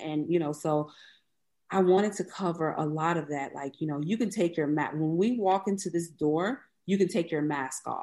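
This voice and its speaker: With an American accent, a woman talks at a moderate pace in an unremarkable speaking voice, fairly low in pitch with ordinary pitch variation, against a quiet background. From US South, Mississippi (Biloxi). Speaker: museum founder. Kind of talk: interview.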